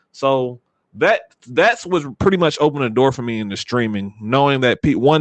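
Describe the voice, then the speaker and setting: Over a quiet background, a man with an American accent speaks at a moderate pace in a plain, everyday voice, medium in pitch with ordinary variation, the sound dry and close with no echo. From US South. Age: 20s. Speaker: streamer. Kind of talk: casual chat.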